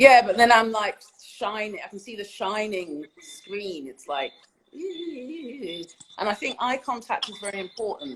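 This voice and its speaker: Speaking with a London accent, a woman moves at a fairly slow pace through very wide pitch swings and big swings in loudness. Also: fairly high pitch for a woman. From London, England. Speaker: poet. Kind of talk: interview answer.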